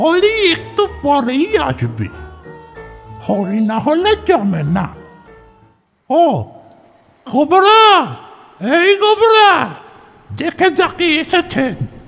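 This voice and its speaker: Someone speaks very slowly in a put-on character voice. Faint music plays in the background. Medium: audio drama. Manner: genial, insistent, chuckling.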